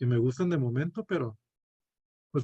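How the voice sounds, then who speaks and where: The voice has a dark, mellow tone, somewhat breathy, moving at a moderate pace with ordinary pitch variation. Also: man. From northern Mexico, Chihuahua (Cuauhtémoc). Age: 20s. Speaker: medical student. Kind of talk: student class presentation; self-introduction. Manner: hesitant, many fillers.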